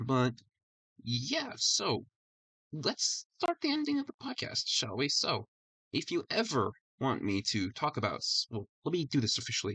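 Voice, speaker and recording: A man speaks quietly at a moderate pace in a calm tone, his loudness very even, the sound dry and close with no echo. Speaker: podcast host. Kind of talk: casual solo podcast talk. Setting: live stream recording. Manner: quiet, calm; stutters a lot.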